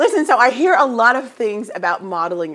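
The woman's intonation is lively. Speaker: talk show host. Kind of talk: talk show interview. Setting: studio. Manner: animated. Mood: warm, friendly. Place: studio. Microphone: lapel.

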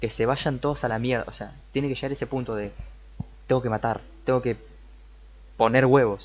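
A man's fairly quick speech with vocal fry, over light background noise. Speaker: anime reactor. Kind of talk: casual reaction commentary. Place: home room.

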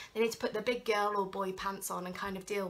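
The voice has a bright, sharp tone and moves at a fairly quick pace. Light background noise can be heard. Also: woman. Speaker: tarot reader. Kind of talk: tarot reading monologue. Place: home room. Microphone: phone near.

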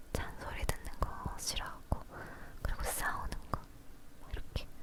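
A woman whispering at a fairly slow pace, noticeable background noise behind her. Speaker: ASMR creator. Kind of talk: casual talk to camera. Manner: whispered, soft-spoken.

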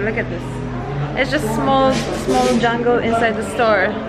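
A woman speaks at a moderate pace with loud music playing in the background. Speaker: vlogger. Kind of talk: casual vlog chat. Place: cafe. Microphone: phone near.

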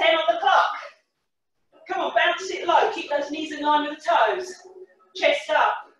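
A woman speaks at a fairly slow pace, with audible echo in the room. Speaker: fitness instructor. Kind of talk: workout class instruction. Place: kitchen. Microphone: webcam.

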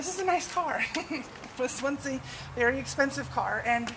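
A high-pitched woman at a moderate pace, with noticeable background noise. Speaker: vlogger. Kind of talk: casual vlog chat. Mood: frustrated, candid. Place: street.

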